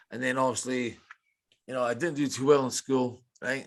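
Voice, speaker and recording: This man talks at a medium pitch with monotone, flat intonation. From London (born Glasgow), moved to Scotland at eleven. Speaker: army veteran. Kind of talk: casual chat. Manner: halting, repetitive fillers.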